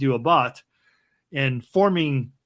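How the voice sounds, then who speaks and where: A man speaks against a quiet background. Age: 60s. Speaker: ceremonial magician and early internet artist. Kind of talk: podcast interview. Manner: halting with false starts.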